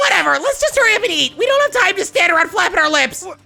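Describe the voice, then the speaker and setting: Faint music plays behind a put-on character voice. It is extremely high in pitch and very fast. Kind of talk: curt. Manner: gruff, barking, impatient.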